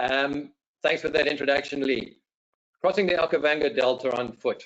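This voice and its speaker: With a South African accent, a man speaks in a fairly high voice at a moderate pace. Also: ordinary pitch variation. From South Africa, Johannesburg. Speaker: safari guide. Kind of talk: webinar presentation. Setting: video call.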